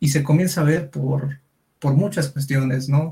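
Dark, mellow tone from a man, somewhat breathy, with fairly even intonation. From Durango, Mexico. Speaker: psychologist. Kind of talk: casual chat. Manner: halting, many fillers.

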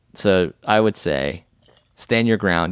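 On a very clean recording with a silent background, a man with a very deep, low pitch and vocal fry shows ordinary pitch variation in a dry, close sound with no echo. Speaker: podcast host. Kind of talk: casual comedic chat.

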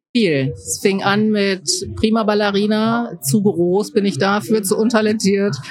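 Fairly slow female speech against noticeable background noise. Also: medium pitch for a woman, ordinary pitch variation. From Rhineland, Germany (Mönchengladbach). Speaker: leadership and innovation consultant. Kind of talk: interview.

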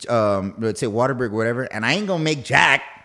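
A man's normal speaking voice with lively intonation and a fairly quick pace, in a very clean recording over a silent background. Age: 30s. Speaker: podcast host and new real estate agent. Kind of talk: casual chat. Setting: studio.

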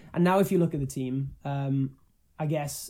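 In a Welsh accent, a man speaks at a moderate pace with a dark, mellow tone and fairly even intonation. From Wales. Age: young. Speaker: musician. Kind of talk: casual chat.

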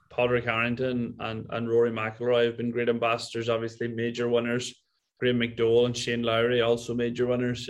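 A man with a Donegal accent at a moderate pace. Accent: Donegal Irish. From Ireland, County Donegal. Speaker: golf resort owner. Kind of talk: casual interview.

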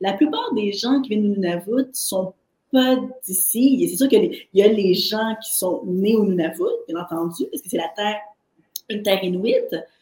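A woman speaks in a fairly high, somewhat breathy voice with a dark, mellow tone and lively intonation. Her loudness swings widely, and she leaves long, frequent pauses. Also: moderate pace. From Haitian heritage, French Canada. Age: 40s. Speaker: artist and entrepreneur. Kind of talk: interview.

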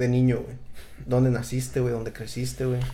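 A man's medium-pitched voice with a Mexican accent, plus audible room echo. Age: 30s. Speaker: podcast host. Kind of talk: casual chat.

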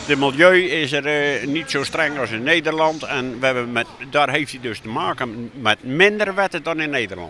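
With music in the background, a man speaks in a fairly high pitch with ordinary pitch variation and hardly any pauses. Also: moderate pace. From Netherlands, Zeeland. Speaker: moped enthusiast. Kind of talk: interview.

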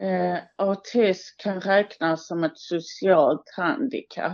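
At a very slow pace, a woman with a fairly low pitch speaks with ordinary pitch variation. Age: 20s. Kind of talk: interview, partly prepared answers. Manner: hesitant, many filler sounds.

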